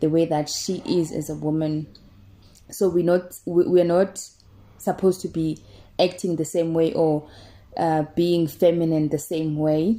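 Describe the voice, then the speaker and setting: A woman's fairly low, dark, mellow voice, monotone and flat, at a fairly slow pace with long, frequent pauses, in a very clean recording with a silent background. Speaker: self-help vlogger. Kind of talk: casual talk to camera. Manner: loud; halting, many repetitions.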